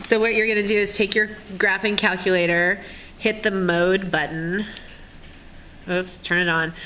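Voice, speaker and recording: Noticeable background noise sits behind the speaker. She is a woman talking at a moderate pace. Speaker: high school math teacher. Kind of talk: tutorial. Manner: casual.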